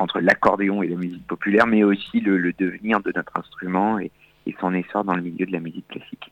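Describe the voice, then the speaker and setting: This man's voice is very deep and low, and he speaks at a fairly quick pace. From France, Auvergne. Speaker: accordionist. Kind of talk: radio interview. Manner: hesitant, with fillers and repetitions.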